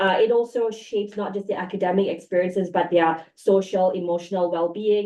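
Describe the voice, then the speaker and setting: A woman with a non-native accent at a fairly quick pace, over noticeable background noise. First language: not English. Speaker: professor. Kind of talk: panel discussion.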